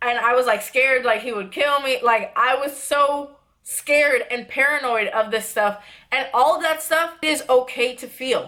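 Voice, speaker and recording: This woman's voice is high-pitched, raised and projected, with a bright, sharp tone. She talks at a moderate pace with ordinary pitch variation. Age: 20s. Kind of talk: casual talk to camera. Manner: serious, earnest.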